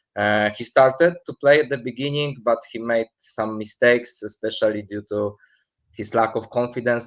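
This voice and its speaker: Speaking at a moderate pace with fairly even intonation, a man with a Polish accent holds a medium pitch. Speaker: football expert. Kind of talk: interview. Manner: halting, many fillers.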